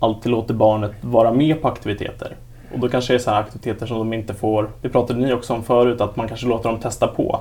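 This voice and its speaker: A man talks at a fairly quick pace in a normal speaking voice with medium pitch. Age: 20s. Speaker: patient with hemophilia. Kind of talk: casual chat.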